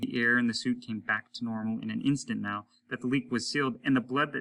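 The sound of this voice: Heard here is an unforced reading voice.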